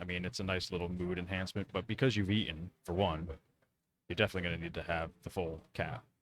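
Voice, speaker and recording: A soft-spoken man talks at a very fast pace. His voice has a very deep, low pitch. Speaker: photographer. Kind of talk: casual chat. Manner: speaks low.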